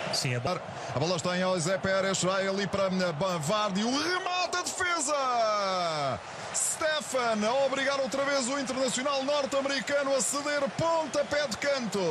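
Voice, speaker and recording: Amid noticeable background noise, a man with an extremely high pitch speaks fairly slowly, his pitch swinging very widely while his loudness stays very even. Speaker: football commentator. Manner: excitable, rising to urgent exclamations on chances.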